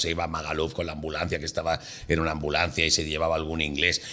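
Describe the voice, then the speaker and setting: A man's very deep, low voice with a bright, sharp tone at a fairly quick pace. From Mallorca, Palma. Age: 60s. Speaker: comedian. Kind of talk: casual chat. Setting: studio.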